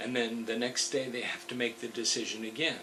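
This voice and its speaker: Speaking fairly quickly, a man is heard with audible room echo and noticeable background noise. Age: 70s. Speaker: motivational speaker. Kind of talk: motivational talk.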